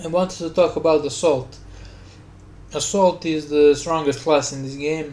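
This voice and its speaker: Amid noticeable background noise, a man with a Slavic accent talks at a fairly slow pace in a monotone, flat intonation. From Slavic country. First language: Slavic language. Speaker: gaming YouTuber. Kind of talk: casual voice-over commentary rant. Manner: rambling, halting.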